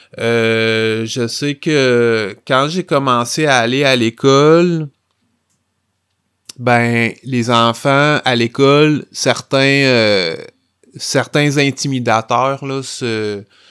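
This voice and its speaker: A man speaks very slowly at a medium pitch with fairly even intonation. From Quebec, Rimouski. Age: 40s. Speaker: comic book author. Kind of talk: interview.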